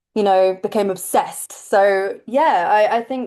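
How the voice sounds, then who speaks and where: A woman with an English accent speaks against a quiet background. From England. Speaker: pop singer. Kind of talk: interview answer. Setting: video call.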